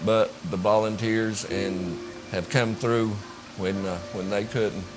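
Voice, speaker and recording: Against music in the background and audible room echo, a man with a fairly low pitch talks very slowly with fairly even intonation. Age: 60s. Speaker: stranded storm survivor. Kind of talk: testimony.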